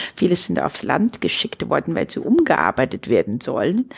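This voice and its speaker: The woman's fairly slow speech has a dry, close sound with no echo. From China. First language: Chinese (speaking German). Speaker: entrepreneur and cultural project initiator. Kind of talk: interview conversation.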